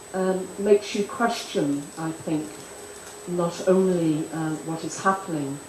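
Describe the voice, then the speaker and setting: Fairly even intonation with audible room echo and noticeable background noise. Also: woman. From Ireland. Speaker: conference speaker. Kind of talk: conference panel remarks. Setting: conference in Delhi. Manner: halting, many fillers; formal.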